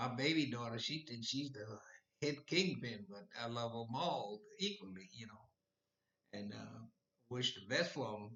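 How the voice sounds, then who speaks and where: At a fairly slow pace with long, frequent pauses, a man speaks at a medium pitch with vocal fry, lively intonation and big swings in loudness. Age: 80s+. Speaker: retired Korean War veteran. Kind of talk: casual talk to camera.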